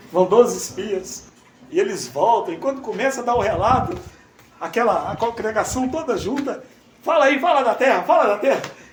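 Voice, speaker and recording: A man with an extremely high pitch and lively intonation speaks at a moderate pace, with audible room echo and noticeable background noise. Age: 60s. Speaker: preacher. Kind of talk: sermon. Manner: animated.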